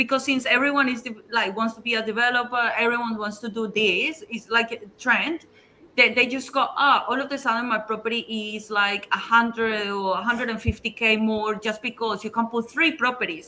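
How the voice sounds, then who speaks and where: This woman has a fairly high pitch and a non-native accent. She moves at a fairly quick pace with fairly even intonation. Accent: foreign. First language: not English. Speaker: property developer. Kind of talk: panel discussion.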